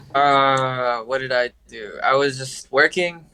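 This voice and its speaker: Bright and sharp in tone, a man with an American accent speaks at a fairly high pitch in a monotone, flat intonation. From California (Huntington Park, Los Angeles area). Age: 20s. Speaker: film industry assistant. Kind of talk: casual chat. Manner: halting, many fillers.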